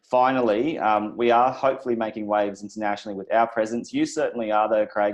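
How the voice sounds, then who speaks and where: Talking at a very fast pace, a man with an Australian accent keeps a medium pitch. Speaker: crypto channel host. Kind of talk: interview.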